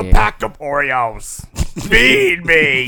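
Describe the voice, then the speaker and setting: A put-on character voice from a man at medium pitch. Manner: tempting, demanding.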